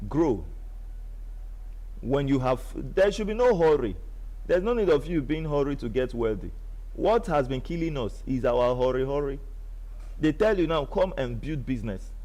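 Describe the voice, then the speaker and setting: A man with a Nigerian accent speaks at a moderate pace with lively intonation and vocal fry, leaving long, frequent pauses. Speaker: online business promoter. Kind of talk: live stream sales pitch. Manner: animated.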